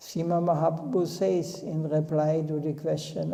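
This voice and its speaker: A man with a non-native accent speaks at a moderate pace in a fairly high pitch, with noticeable background noise and audible room echo. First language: not English. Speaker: spiritual teacher. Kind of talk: religious discourse. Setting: temple.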